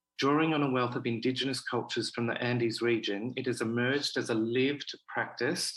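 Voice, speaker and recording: Talking at a fairly quick pace is a man. He has an Australian accent. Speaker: festival director. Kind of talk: prepared speech.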